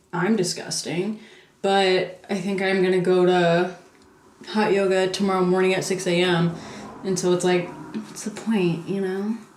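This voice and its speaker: A woman's medium-pitched voice in a room with audible echo and noticeable background noise. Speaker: vlogger. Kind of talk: casual vlog talk to camera. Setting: in public, post office and yoga studio. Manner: chatty; whispering.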